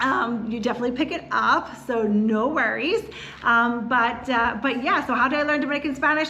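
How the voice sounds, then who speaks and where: A high-pitched woman with a Philadelphia accent at a moderate pace, ordinary pitch variation, audible room echo and noticeable background noise. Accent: Philadelphia-area American English. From US, Philadelphia area. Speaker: real estate agent. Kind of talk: casual chat.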